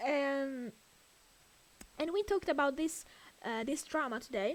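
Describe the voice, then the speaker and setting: A woman speaks with high pitch. Her intonation is lively. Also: fairly slow pace. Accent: Italian. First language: Italian. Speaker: streamer. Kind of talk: casual chat. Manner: loud.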